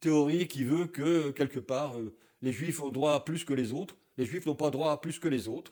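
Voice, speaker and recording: Here a man talks at a fairly slow pace. His tone is dark and mellow, with ordinary pitch variation. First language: German (speaking French). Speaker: Holocaust survivor, activist. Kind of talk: interview.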